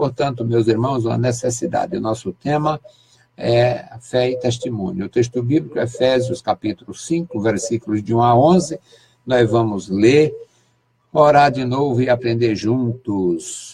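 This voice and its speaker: A man's somewhat breathy voice, medium in pitch, with a dark, mellow tone, ordinary pitch variation and a fairly slow pace. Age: 60s. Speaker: pastor. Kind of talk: sermon.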